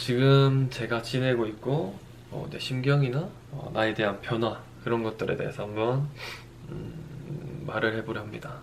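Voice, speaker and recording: With audible room echo and noticeable background noise, a man speaks at a fairly slow pace with ordinary pitch variation. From Daegu, South Korea. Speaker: fitness trainer and YouTuber. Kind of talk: personal monologue vlog.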